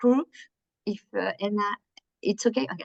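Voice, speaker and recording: A woman with a French accent speaks at a fairly high pitch with lively intonation. The sound is dry and close, with no echo. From France. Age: 50s. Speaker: workshop presenter. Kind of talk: workshop presentation. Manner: slow, hesitant.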